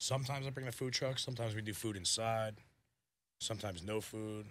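A man with an American accent talks at a very fast pace, his intonation fairly even. Long, frequent pauses break up his speech. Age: 30s. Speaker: caterer and food truck owner. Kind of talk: casual chat.

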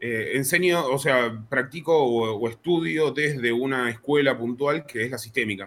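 At a fairly slow pace and with hardly any pauses, a man talks at a medium pitch with ordinary pitch variation. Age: 30s. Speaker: psychologist. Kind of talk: casual chat.

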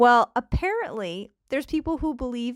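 With a Canadian accent, a woman talks at a moderate pace in an animated tone with lively intonation. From Canada. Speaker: podcast host. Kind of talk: casual solo podcast chat. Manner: animated, chatty.

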